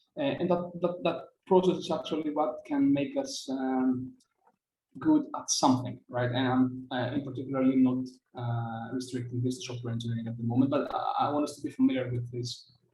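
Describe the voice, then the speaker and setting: This man's voice has a dark, mellow tone and a medium pitch, somewhat breathy, moving at a fairly quick pace with fairly even intonation. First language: Greek. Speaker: software engineer. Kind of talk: conference talk. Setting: video call. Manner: fast.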